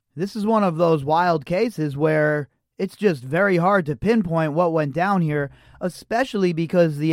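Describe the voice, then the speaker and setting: A man's fairly high-pitched, normal speaking voice with an American accent, ordinary pitch variation and a moderate pace, on a very clean recording with a silent background. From Las Vegas, US. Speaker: podcast host. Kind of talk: casual commentary reading news articles.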